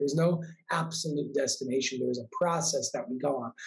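Speaking at a moderate pace, a man has an unremarkable speaking voice, fairly high in pitch, with ordinary pitch variation. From New York. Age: 20s. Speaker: spiritual coach and author. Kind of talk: casual interview.

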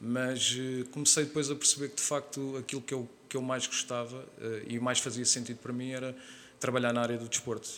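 A man's voice at a medium pitch. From Portugal, Lisbon area (Oeiras/Carcavelos). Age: 30s. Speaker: calisthenics trainer. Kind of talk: podcast interview.

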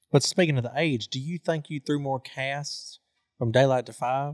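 A man with a plain, everyday voice speaks at a medium pitch with fairly even intonation, in a dry, close sound with no echo on a very clean recording with a silent background. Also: big swings in loudness. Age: 20s. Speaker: podcast host. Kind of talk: casual chat.

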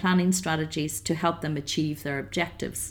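A woman speaks with a Northern Irish accent on a very clean recording with a silent background. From Northern Ireland, County Down. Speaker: financial advisor. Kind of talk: interview. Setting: hotel.

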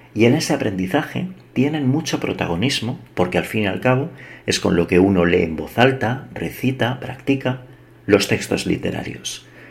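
This voice is somewhat breathy, with very wide pitch swings. The pace is moderate. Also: man, medium pitch for a man. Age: 40s. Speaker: podcast host. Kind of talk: scripted monologue. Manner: measured.

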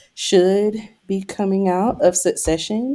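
A woman with a medium pitch speaks very slowly with ordinary pitch variation and a dark, mellow tone, on a very clean recording with a silent background. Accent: American. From eastern North Carolina. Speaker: therapist and podcast co-host. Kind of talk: casual chat.

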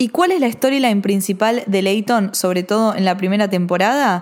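A woman with a Rioplatense accent speaks at a medium pitch with ordinary pitch variation. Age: 20s. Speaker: podcast host. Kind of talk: solo film and TV commentary.

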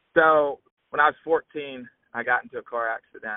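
A man with a Southern US accent speaks in a fairly even intonation. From US South, southeast Alabama. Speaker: agriculture social media creator and student. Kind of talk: casual interview.

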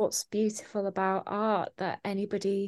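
In a Yorkshire accent, a woman speaks at medium pitch with monotone, flat intonation, recorded with a dry, close sound and no echo. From Yorkshire, England. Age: 20s. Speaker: artist and illustrator. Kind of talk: interview.

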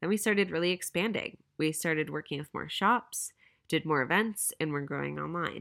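On a very clean recording with a silent background, a woman with a plain, everyday voice speaks at a fairly low pitch with ordinary pitch variation. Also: moderate pace. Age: 20s. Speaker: podcast host and apparel business co-founder. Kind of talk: solo monologue podcast.

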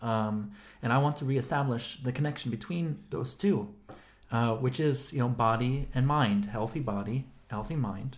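Talking at a moderate pace, this man has a medium-pitched voice that is somewhat breathy. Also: ordinary pitch variation. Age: 30s. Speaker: podcast co-host, philosopher. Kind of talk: casual philosophical discussion.

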